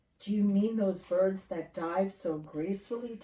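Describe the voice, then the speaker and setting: Here a woman does a put-on character voice. Her pitch sits in the medium range. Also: moderate pace. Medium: read story. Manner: loud, hearty.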